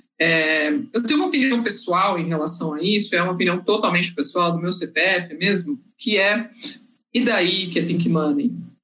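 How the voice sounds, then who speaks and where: A woman uses a normal speaking voice with lively intonation. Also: medium pitch for a woman, moderate pace. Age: 30s. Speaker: consulting project manager. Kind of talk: panel discussion.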